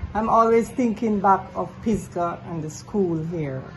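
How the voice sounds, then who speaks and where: A woman speaks at a fairly slow pace with medium pitch and ordinary pitch variation, with noticeable background noise and audible room echo. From Jamaica, rural Saint Elizabeth. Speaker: community foundation organizer. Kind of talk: interview.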